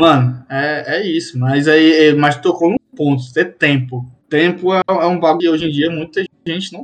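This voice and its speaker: A man with an unremarkable speaking voice, fairly high in pitch, at a moderate pace with ordinary pitch variation. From Fortaleza, Brazil. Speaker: IT support worker. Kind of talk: casual chat.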